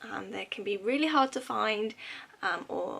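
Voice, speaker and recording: A woman in a British accent at a fairly slow pace. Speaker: YouTuber, pin collector. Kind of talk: casual vlog haul. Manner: chatty with many fillers.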